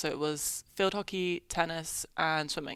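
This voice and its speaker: Against a silent background in a very clean recording, a woman with an English accent speaks in a very deep, low pitch, with a bright, sharp tone and monotone, flat intonation. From England. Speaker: college tennis player. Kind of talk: interview.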